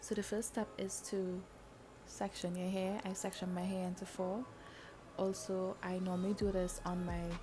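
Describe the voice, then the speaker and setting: Music plays in the background as a woman speaks at a moderate pace. Her medium-pitched voice holds a monotone, flat intonation. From Trinidad. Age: 20s. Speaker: YouTuber. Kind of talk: hair tutorial talk to camera.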